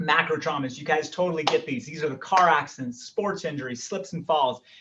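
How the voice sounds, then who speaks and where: His tone comes across bright and sharp, and the man's pitch varies in an ordinary way. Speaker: chiropractor. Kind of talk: health workshop talk. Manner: fast.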